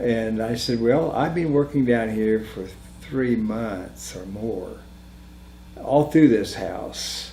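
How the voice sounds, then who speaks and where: Speaking at a very slow pace over noticeable background noise, a man at medium pitch shows big swings in loudness. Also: ordinary pitch variation. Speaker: house remodeler. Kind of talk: interview answer, personal ghost story. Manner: rambling, hesitant.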